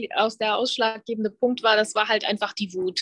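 The voice belongs to a woman. Her sound is dry and close, without any echo. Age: 30s. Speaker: body-positivity influencer, former fitness trainer. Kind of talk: casual interview.

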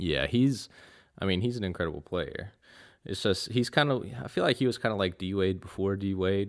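A plain, everyday voice from a man with an American accent, fairly low in pitch, at a moderate pace with ordinary pitch variation. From North Carolina, Raleigh. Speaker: basketball fan guest. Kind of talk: casual chat.

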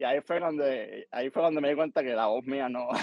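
Speaking fairly quickly, a man with an unremarkable speaking voice sits fairly high in pitch, with ordinary pitch variation. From Cuba. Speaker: musician and producer. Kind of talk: casual interview.

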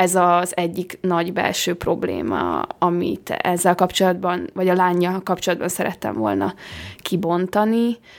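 Here is an ordinary speaking voice from a woman, fairly low in pitch. She talks at a fairly slow pace with fairly even intonation. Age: young. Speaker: film director. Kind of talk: interview. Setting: hotel room.

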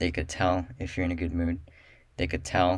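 A man speaks in a very deep, low pitch that sounds somewhat breathy. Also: very clean recording, silent background. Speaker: solo podcast host and realtor. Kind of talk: solo podcast monologue. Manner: monotone; halting, many fillers.

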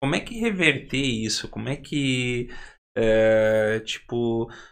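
The speaker has a southern Brazilian accent, and the recording is very clean with a silent background. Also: man. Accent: gaúcho Brazilian Portuguese. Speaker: podcast host. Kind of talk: podcast interview.

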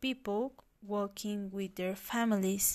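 A woman in a Spanish accent talks with ordinary pitch variation on a very clean recording with a silent background. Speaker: language student. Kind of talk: class assignment recording, personal narration. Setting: at home, recording on computer. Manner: halting, with many fillers.

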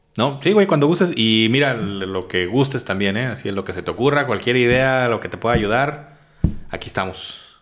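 A man at a moderate pace with lively intonation, in a Mexican accent. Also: medium pitch for a man. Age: 30s. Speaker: comedian and schoolteacher. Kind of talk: casual chat.

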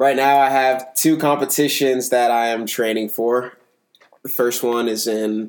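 In an American accent, a man speaks at a medium pitch and a fairly slow pace. His intonation is monotone and flat. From US, Maryland (Potomac). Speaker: bodybuilder. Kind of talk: interview.

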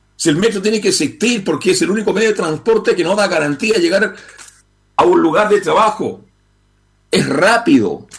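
At a moderate pace, a man with a high pitch and ordinary pitch variation speaks with long, frequent pauses. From Chile. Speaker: radio host and journalist. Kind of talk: call-in radio talk show. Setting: radio studio.

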